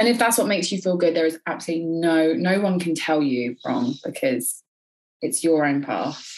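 With a normal speaking voice, a woman talks at a moderate pace, fairly low in pitch with lively intonation. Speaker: beauty therapist and educator. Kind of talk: casual interview.

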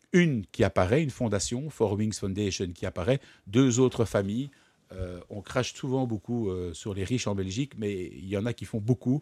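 A man's fairly low, dark, mellow voice at a moderate pace with ordinary pitch variation, in a dry, close sound with no echo and a very clean recording with a silent background. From Brussels, Belgium. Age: 40s. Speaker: entrepreneur and publisher. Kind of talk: interview. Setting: studio.

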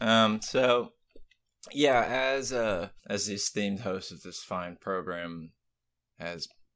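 In an American accent, a man with a fairly low pitch speaks at a very slow pace on a very clean recording with a silent background. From US South, Florida (Tampa). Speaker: writer and gaming youtuber. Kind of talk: casual chat. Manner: halting.

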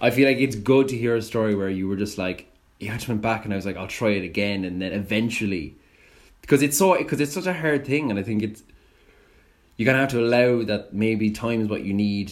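A man with an Irish accent, fairly low pitch, ordinary pitch variation and a fairly quick pace. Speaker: podcast host. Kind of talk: casual interview.

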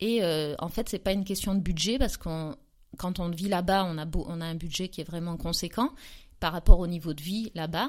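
A woman with an unremarkable speaking voice talks at a fairly low pitch with ordinary pitch variation and big swings in loudness. The recording is very clean, with a silent background. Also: moderate pace. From southern France, near Aix-en-Provence. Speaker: entrepreneur, former schoolteacher. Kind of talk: casual interview.

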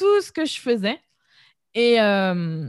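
On a very clean recording with a silent background, the voice sounds energetic, dry and close with no echo. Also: woman. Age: 20s. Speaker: entrepreneur, web marketing podcaster. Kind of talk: casual interview conversation.

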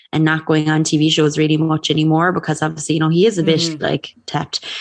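A woman with an Irish accent speaks at a very fast pace in a very deep, low voice. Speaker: podcast co-host. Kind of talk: casual chat.

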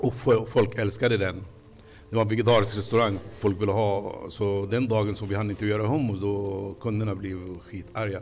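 The voice is somewhat breathy, with monotone, flat intonation. Audible room echo is present. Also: man, fairly low pitch for a man, moderate pace. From Palestine. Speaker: restaurant owner. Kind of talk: interview. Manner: halting.

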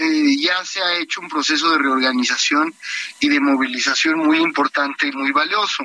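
Against noticeable background noise, a man speaks with lively intonation. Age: 30s. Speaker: party leader, politician. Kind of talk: radio interview.

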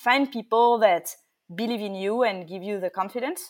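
A woman speaks with a French accent. Her pitch varies in an ordinary way. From France. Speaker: startup founder and CEO. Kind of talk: interview. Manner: halting with many fillers.

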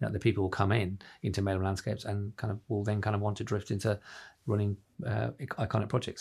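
A man talks at a very fast pace with a fairly low pitch and vocal fry. The recording is very clean with a silent background. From Ireland. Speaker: managing director of a landscaping company. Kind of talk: casual interview.

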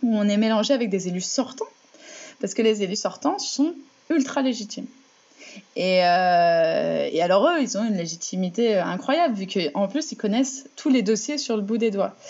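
Her pitch is fairly high and her intonation lively. The woman talks at a moderate pace. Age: 20s. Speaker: municipal election candidate. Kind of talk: interview. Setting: remote call. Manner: halting, many repetitions and fillers.

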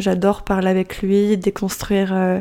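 On a very clean recording with a silent background, a woman talks at a fairly slow pace with medium pitch, a dark, mellow tone, and monotone, flat intonation. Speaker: podcast host. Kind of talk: casual chat. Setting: recording in Barcelona.

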